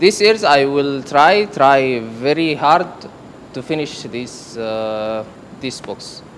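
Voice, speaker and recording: A man with an Arabic accent speaks very slowly at a fairly high pitch, with lively intonation and big swings in loudness. The room echo is audible and the background noise noticeable. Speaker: student. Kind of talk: classroom contribution. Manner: halting.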